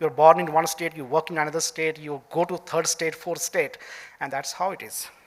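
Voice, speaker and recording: Speaking with an Indian accent, a man with a fairly high pitch keeps a flat monotone at a moderate pace while his loudness swings widely. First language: Dogri. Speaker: senior civil servant. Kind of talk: keynote speech. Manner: halting, many fillers.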